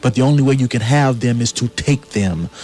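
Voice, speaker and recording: A man with a mid-range voice talks rather briskly while clear background noise carries on behind him. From US South. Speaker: playwright. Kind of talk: radio interview. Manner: earnest, impassioned.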